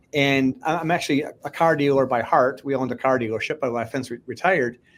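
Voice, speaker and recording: Using a normal speaking voice, a man talks at a fairly quick pace, his fairly high pitch showing ordinary variation. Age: 50s. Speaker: podcast host and fantasy league creator. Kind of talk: casual interview chat.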